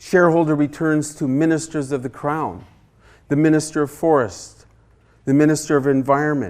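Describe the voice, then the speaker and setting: The recording is very clean, with a silent background. A man with a Canadian accent and a fairly high pitch talks at a moderate pace with fairly even intonation. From Haida Gwaii, British Columbia, Canada. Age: 60s. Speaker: artist and author. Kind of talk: guest lecture. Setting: university classroom. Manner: impassioned.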